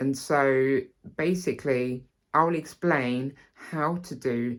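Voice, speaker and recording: With ordinary pitch variation, a man speaks at a very slow pace. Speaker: actor and singer teaching accents. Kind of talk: tutorial. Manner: halting, many fillers.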